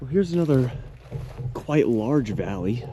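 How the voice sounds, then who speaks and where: A man with lively intonation at a moderate pace. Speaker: YouTuber. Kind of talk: vlog narration. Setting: outdoors. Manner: loud.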